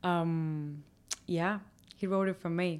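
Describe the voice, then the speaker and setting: A woman with a Spanish accent and medium pitch speaks very slowly and with fairly even intonation, captured in a very clean recording against a silent background. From Havana, Cuba. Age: 20s. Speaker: rock singer. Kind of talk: interview.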